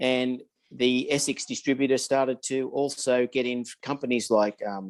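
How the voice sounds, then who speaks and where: A man with an Australian accent at a moderate pace. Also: dry, close sound with no echo. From Australia (Sydney, Blacktown). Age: 60s. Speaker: wargaming hobbyist. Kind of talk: casual interview chat.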